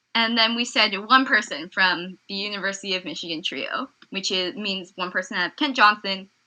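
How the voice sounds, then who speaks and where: Loud and bright with a sharp tone, a woman speaks at a fairly quick pace in a medium pitch with ordinary pitch variation, over a quiet background. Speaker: podcast co-host. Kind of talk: casual chat.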